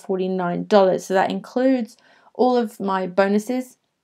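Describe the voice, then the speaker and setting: Here a woman speaks at a medium pitch with an English accent. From England. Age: 20s. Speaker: travel photographer. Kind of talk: webinar sales pitch. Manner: hesitant fillers.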